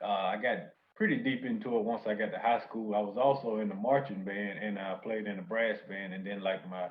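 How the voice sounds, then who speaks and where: A man's fairly low voice at a fairly quick pace with fairly even intonation. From North Carolina. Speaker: music producer. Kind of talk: interview. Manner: hesitant, many fillers.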